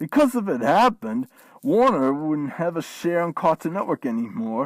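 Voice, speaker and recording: This put-on character voice sits at a middle pitch and makes very wide pitch swings on a very clean recording with a silent background. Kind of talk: in-character vlog rant.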